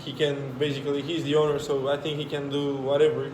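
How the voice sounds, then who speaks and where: Over noticeable background noise and audible room echo, a man with a fairly high pitch speaks at a fairly quick pace. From Romania. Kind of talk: casual chat.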